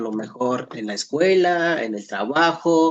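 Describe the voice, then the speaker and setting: A man speaks with a Mexican accent. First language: Nahuatl (speaking Spanish). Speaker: Nahuatl language teacher. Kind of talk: lecture. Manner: halting with frequent self-corrections.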